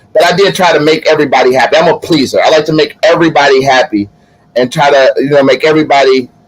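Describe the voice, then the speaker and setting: The man talks at a very fast pace. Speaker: live show co-host. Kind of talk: casual chat. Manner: loud.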